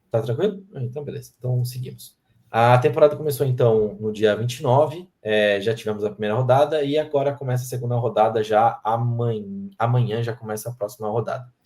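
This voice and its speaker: With a dark, mellow tone and a medium pitch, a man speaks at a fairly quick pace in a somewhat breathy voice, using ordinary pitch variation and hardly any pauses. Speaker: sports podcast host. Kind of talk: casual podcast chat.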